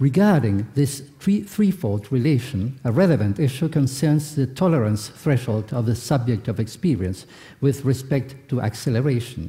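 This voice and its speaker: With a non-native accent, a man speaks at a moderate pace and medium pitch, his intonation lively, his tone dark and mellow, his voice somewhat breathy, his loudness very even and his pauses hardly there. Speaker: philosopher, keynote speaker. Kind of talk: lecture. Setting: conference hall with audience. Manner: formal; halting, hesitant.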